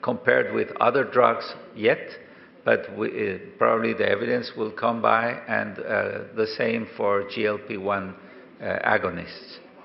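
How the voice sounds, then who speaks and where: Audible room echo and noticeable background noise. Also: man. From Colombia. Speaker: professor and diabetes specialist. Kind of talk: conference lecture. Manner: halting, many fillers.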